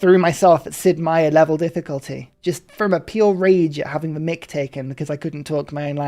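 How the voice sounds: A woman speaks in a very deep, low voice with fairly even intonation while music plays in the background.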